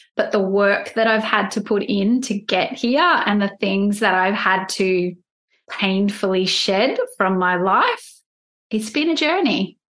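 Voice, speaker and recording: At a fairly slow pace, a woman with an ordinary speaking voice talks at medium pitch with ordinary pitch variation. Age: 40s. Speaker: life coach and podcaster. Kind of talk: casual interview chat.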